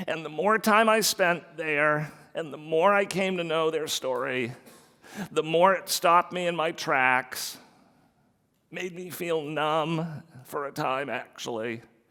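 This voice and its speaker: Fairly high in pitch, this man has a bright, sharp tone. He talks at a fairly slow pace with ordinary pitch variation. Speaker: business leader, author. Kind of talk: public talk to live audience.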